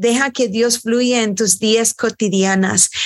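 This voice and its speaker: Her pitch fairly high, a woman with an English accent speaks with fairly even intonation. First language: English (speaking Spanish). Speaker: worship leader and singer. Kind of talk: interview conversation.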